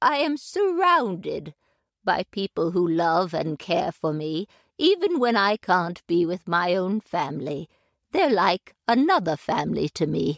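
In a very clean recording with a silent background, a woman does a put-on character voice at a fairly slow pace and medium pitch, the sound dry and close with no echo. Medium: audio drama. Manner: warm, gentle.

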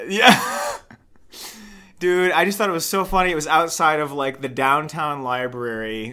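With an ordinary speaking voice, a man talks at a moderate pace with lively intonation and a fairly high pitch. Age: 20s. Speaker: comedy podcast host. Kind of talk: casual chat.

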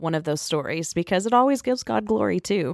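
In a very clean recording with a silent background and a dry, close sound with no echo, a woman with a normal speaking voice speaks at a fairly low pitch with lively intonation. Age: 30s. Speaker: incoming executive director of a rescue mission, podcast co-host. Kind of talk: interview questions in casual chat.

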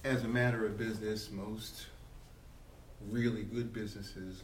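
Noticeable background noise sits behind a man's voice. He has a fairly low pitch and monotone, flat intonation. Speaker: podcast host. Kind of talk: interview. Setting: at a business convention. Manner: formal.

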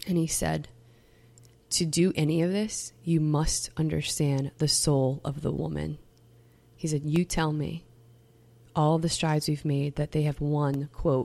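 A woman's very deep, low voice with a dark, mellow tone, fairly even intonation and a fairly slow pace, on a very clean recording with a silent background. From US South, Metairie, Louisiana. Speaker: campus minister and bioethics doctoral student. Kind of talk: casual chat.

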